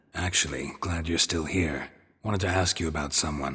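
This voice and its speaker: A man puts on a character voice with a very deep, low pitch. It is raspy and set at a moderate pace. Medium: video game. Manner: terse, deadpan.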